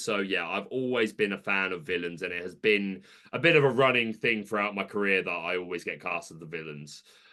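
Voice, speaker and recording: A man speaks in a British accent at a fairly quick pace. His fairly low voice has ordinary pitch variation. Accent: British accent noticeable. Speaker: content creator. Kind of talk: casual chat.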